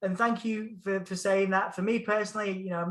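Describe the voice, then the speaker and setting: Bright and sharp in tone, a man talks at a very fast pace in a high pitch. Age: 30s. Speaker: music journalist and interviewer. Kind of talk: casual chat. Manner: animated.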